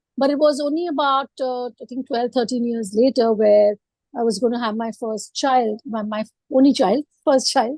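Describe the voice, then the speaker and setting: A woman's high-pitched voice, dark and mellow in tone, with fairly even intonation at a moderate pace. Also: dry, close sound with no echo. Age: 50s. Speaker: entrepreneur. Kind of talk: panel discussion. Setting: video call.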